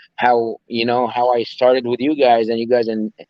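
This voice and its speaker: Speaking at a fairly quick pace, a man with an Arabic accent keeps to a medium pitch. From Egypt. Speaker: personal trainer and bodybuilder. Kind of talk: interview. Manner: halting, many fillers and repeats.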